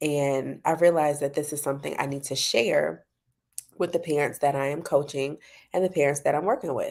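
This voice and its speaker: On a very clean recording with a silent background, a woman speaks quietly at a fairly quick pace, her very deep, low pitch paired with fairly even intonation. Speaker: parent coach. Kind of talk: casual talk to camera. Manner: quiet, low voice.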